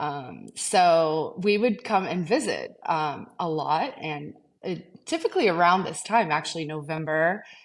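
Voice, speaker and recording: A woman's fairly low voice in a slight Portuguese accent, fairly slow in pace with hardly any pauses and ordinary pitch variation, against a quiet background. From Azores, Portugal. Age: 40s. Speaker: real estate agent. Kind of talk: podcast interview.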